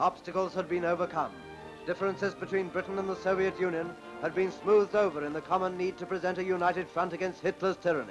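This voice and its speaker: Over music in the background, a man speaks at a very fast pace with a high pitch and fairly even intonation. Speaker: newsreel narrator. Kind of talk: newsreel narration.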